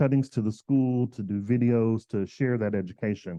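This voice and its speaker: A man talks at medium pitch with an American accent. His pace is moderate and his intonation fairly even. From US South. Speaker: floral designer and educator. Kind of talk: presentation and demonstration. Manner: loud.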